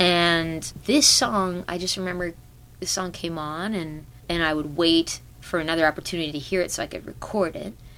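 Her voice an unremarkable speaking voice, a woman speaks at a fairly low pitch and moderate pace with ordinary pitch variation. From Canada. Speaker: singer-songwriter. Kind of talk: casual interview.

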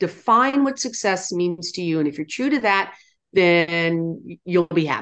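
Against a quiet background, a woman with a normal speaking voice and an American accent talks at a medium pitch and a fairly slow pace with lively intonation. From US, military family upbringing. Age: 60s. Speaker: nonprofit founder and CEO. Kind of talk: interview.

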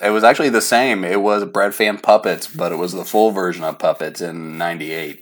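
A man with an American accent and a plain, everyday voice speaks at a moderate pace with hardly any pauses. His pitch is fairly low with ordinary variation, and the recording is very clean with a silent background. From Oklahoma City, US. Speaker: metal fan. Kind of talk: casual chat.

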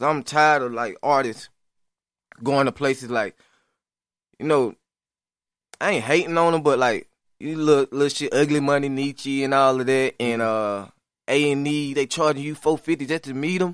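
A man with a Southern US accent speaks at a moderate pace and fairly high pitch. His pauses are long and frequent. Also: ordinary pitch variation. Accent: Southern, stands out up north. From US South, east Alabama. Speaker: rapper. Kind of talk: casual interview.

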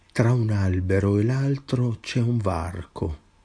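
Over a quiet background, a man speaks at a very slow pace in a fairly low, dark, mellow, somewhat breathy voice with lively intonation. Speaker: poet reading own work. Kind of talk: poetry reading, measured and incantatory, with refrains repeated like a litany.

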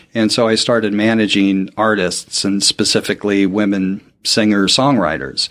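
With an American accent, a man with a fairly low pitch and an unremarkable speaking voice talks at a moderate pace with hardly any pauses, fairly even intonation and very even loudness, in a very clean recording with a silent background. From Portland, Oregon, US Pacific Northwest. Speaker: podcast producer. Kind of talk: interview.

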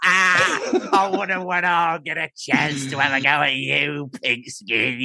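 In a put-on character voice with a London accent, the speaker talks at a fairly slow pace and a middle pitch. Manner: taunting.

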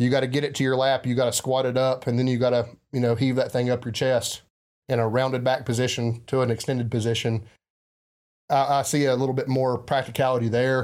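In a very clean recording with a silent background, a man with a strong Southern US accent speaks at a very fast pace in a medium pitch, with monotone, flat intonation and very even loudness. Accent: heavy Southern US. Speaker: podcast host. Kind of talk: casual chat.

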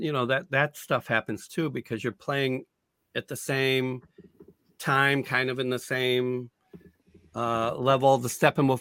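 A man with a normal speaking voice at medium pitch, fairly even intonation and a dry, close sound with no echo. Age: 60s. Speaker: improv comedian and teacher. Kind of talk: casual chat. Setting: video call.

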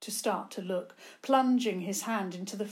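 The reading voice sounds natural, and its pitch shifts in an ordinary way.

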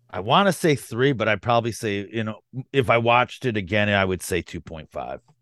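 Hardly pausing, a man with an unremarkable speaking voice and fairly low pitch talks at a fairly quick pace with ordinary pitch variation, the sound dry and close with no echo over a quiet background. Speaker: podcast co-host. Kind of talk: casual film review chat.

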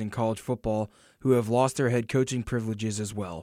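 Heard on a very clean recording with a silent background, a man with an American accent has a plain, everyday voice at a medium pitch. The sound is dry and close with no echo, and he talks at a fairly quick pace with fairly even intonation. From Georgia, US South. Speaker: sports podcast co-host. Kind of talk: casual sports talk.

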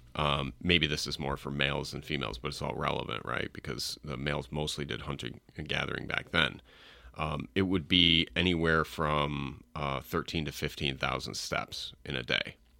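With an American accent, a man speaks at a moderate pace in a very deep, low voice that has a bright, sharp tone, vocal fry and fairly even intonation, on a very clean recording with a silent background. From upstate New York. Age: middle-aged. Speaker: entrepreneur. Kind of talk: casual chat.

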